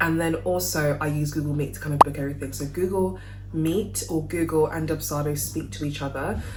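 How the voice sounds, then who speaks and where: A woman with a London accent talks at a fairly quick pace in a very deep, low pitch, her intonation lively. Noticeable background noise and audible room echo accompany her. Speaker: wedding cake maker and business vlogger. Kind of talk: casual tutorial vlog. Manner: chatty, informal.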